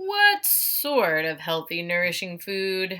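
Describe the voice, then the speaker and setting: Using a put-on character voice at a medium pitch, a woman speaks at a very slow pace. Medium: read story.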